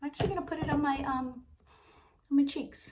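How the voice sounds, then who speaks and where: Audible room echo surrounds a soft-spoken woman who talks fairly quickly at a high pitch. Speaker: makeup seller and vlogger. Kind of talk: makeup tutorial. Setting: sitting in her bathroom. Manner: casual, filler-heavy.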